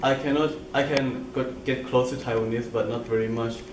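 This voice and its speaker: Noticeable background noise and audible room echo around a man talking at a moderate pace. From Thailand. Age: 20s. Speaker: international university student. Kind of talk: interview. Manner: halting, non-native grammar.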